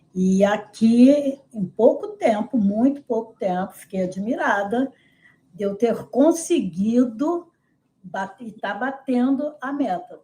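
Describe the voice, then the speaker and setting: Her pitch fairly high, a woman talks at a very slow pace with lively intonation and big swings in loudness. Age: 70s. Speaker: nutrition client. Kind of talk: testimonial interview.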